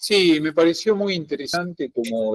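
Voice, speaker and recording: A man talks at a fairly slow pace in a dry, close recording with no echo. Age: 60s. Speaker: student. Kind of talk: class discussion. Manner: halting, many fillers.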